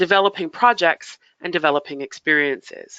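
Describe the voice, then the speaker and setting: A woman speaks with a Canadian accent. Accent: Canadian, noticeable to UK listeners. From Canada, Toronto. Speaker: heritage funding consultant. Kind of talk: webinar presentation. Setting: online webinar. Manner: hesitant, many fillers.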